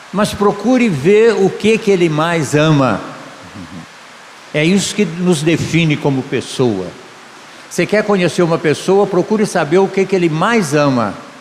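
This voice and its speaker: A man speaks at a high pitch with ordinary pitch variation and very even loudness, pausing long and often. His pace is fairly slow, and noticeable background noise is present. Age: 70s. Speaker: pastor. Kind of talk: sermon. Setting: church conference.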